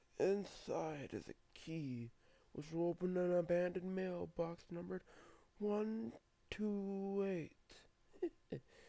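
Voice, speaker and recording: A man puts on a character voice pitched high, with ordinary pitch variation. He talks at a very slow pace. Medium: read story.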